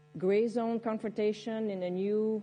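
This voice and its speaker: A woman talks with a Quebec accent. Her tone is dark and mellow, her pace moderate. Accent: French Canadian accent in English. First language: French. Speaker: military general. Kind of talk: panel discussion. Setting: conference stage with audience. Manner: hesitant, many fillers.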